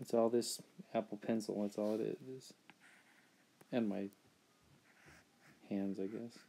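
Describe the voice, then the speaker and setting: A man speaks quietly at a fairly slow pace, with long, frequent pauses. His fairly low voice has a dark, mellow tone and a monotone, flat intonation. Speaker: artist streaming a drawing session. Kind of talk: live-stream drawing commentary. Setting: live stream, lying against a beanbag chair. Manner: halting.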